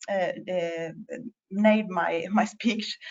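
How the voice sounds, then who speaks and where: Very slow speech from a woman in a Norwegian accent, with ordinary pitch variation. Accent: non-native English, Norwegian. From Norway. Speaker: patient representative and parent. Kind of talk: conference presentation. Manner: halting, many fillers.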